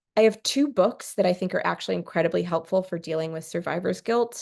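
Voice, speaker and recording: A woman with an American accent speaks at a fairly quick pace and a fairly low pitch, with vocal fry. Her pitch varies in an ordinary way over a quiet background. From California. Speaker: therapist. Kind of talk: workshop presentation. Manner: fast.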